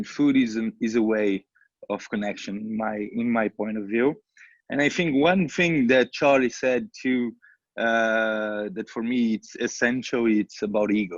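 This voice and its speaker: A fairly slow voice in a Portuguese accent, with ordinary pitch variation, a dry, close sound with no echo and a quiet background. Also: man, medium pitch for a man. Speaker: social entrepreneur. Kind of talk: panel discussion. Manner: halting.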